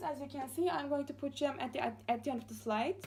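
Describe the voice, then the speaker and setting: Her pitch high, a woman speaks with a Turkish accent. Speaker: master's student. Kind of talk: class presentation. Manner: fast; halting, many fillers.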